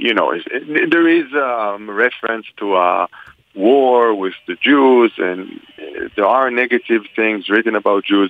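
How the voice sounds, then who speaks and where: At a fairly slow pace, a man speaks with an Israeli accent. His medium pitch shows ordinary variation. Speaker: religion scholar. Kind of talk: interview answering questions. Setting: phone call.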